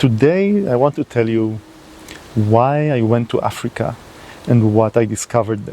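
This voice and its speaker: Someone with a non-native accent speaks at a moderate pace with ordinary pitch variation. The speech contains long, frequent pauses. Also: man, medium pitch for a man. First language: not English. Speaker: environmental video creator. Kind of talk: unscripted monologue to camera. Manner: halting, with fillers.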